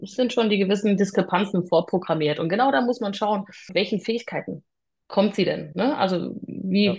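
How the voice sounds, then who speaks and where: In a normal speaking voice, a woman moves at a fairly quick pace with ordinary pitch variation, the background quiet. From southwestern Germany (Freiburg im Breisgau). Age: 30s. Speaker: private security professional. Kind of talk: interview.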